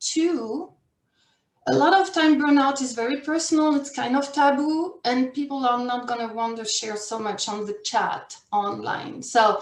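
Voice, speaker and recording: The speaker talks in a French accent. The pace is moderate. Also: woman. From France or French-speaking region. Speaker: career and life coach. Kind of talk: workshop presentation.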